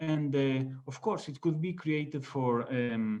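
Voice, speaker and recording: With a Spanish accent, a man talks at a fairly slow pace. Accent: Spanish accent, non-native English. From Spain. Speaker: online business founder. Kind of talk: interview. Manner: halting, many fillers.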